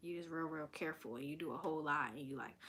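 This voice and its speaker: Soft-spoken, the woman talks in an American accent. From Delaware, US. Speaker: vlogger. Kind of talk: casual chat. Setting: live stream.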